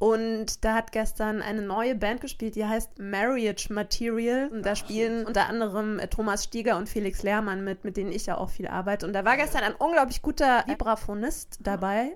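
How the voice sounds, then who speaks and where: This woman has an ordinary speaking voice, pitched fairly high with ordinary variation. She keeps a moderate pace with hardly any pauses. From Bavaria. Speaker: podcast host and saxophonist. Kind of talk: casual interview.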